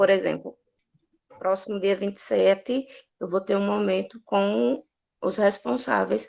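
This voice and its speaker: A woman speaking at a fairly slow pace. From Brazilian Northeast. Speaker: social worker. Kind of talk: online talk circle.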